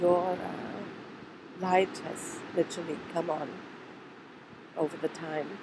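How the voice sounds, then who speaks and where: Over noticeable background noise, a woman speaks with a German accent. Her pitch is fairly low and her intonation monotone and flat. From Germany. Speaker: trauma therapist. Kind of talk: personal video message.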